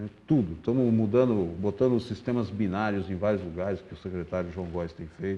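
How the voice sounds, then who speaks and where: The speech moves at a fairly quick pace with hardly any pauses, ordinary pitch variation and big swings in loudness. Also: man, fairly low pitch for a man. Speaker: public transport official. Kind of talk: interview. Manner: fast.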